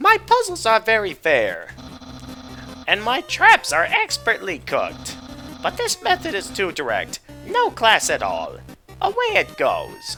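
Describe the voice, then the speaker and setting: A man performs a put-on character voice at a fairly slow pace. Faint music sits in the background. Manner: goofy, pompous.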